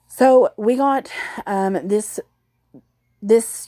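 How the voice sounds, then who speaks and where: Ordinary pitch variation from a woman in a Southern US accent. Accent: southern US drawl. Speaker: animal welfare youtuber. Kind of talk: casual vlog update. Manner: rambling with many fillers.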